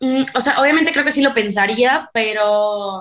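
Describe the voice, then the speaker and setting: Here is a woman with a normal speaking voice, pitched fairly high. She talks at a moderate pace with ordinary pitch variation. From Mexico, Veracruz. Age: 20s. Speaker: singer. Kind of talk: casual chat.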